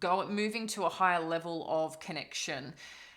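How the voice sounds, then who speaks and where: A woman speaks in an Australian accent at a medium pitch. Her tone is bright and sharp, with ordinary pitch variation. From Australia, East Coast. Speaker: tarot reader. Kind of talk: tarot reading. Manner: casual, rambling with fillers.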